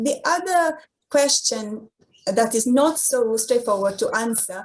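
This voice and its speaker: A woman speaking at a very slow pace. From Romania. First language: Romanian. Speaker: university lecturer. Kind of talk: online presentation. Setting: online event. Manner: hesitant, many fillers.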